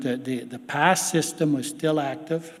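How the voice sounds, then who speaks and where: Audible room echo surrounds a man with a fairly high pitch. He talks at a fairly slow pace with ordinary pitch variation. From Canada, Quebec, Algonquin territory. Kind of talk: keynote speech, storytelling.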